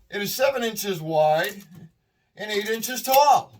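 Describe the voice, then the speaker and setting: A man speaks with a Boston accent at a fairly slow pace. His pitch swings very widely. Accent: Boston-area Massachusetts. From Massachusetts, Worcester County. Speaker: scrap metal collector and video creator. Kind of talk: casual tutorial vlog. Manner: casual, rambling with fillers.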